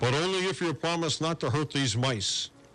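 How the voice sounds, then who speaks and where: Putting on a character voice, a man talks at a fairly high pitch and a moderate pace, with ordinary pitch variation and very even loudness. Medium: read story.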